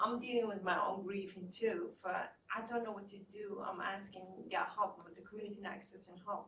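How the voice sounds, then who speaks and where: In a Somali accent, a woman speaks at a moderate pace and medium pitch, her intonation monotone and flat, with big swings in loudness and audible room echo. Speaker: therapist and community mental health advocate. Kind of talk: panel discussion. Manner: halting.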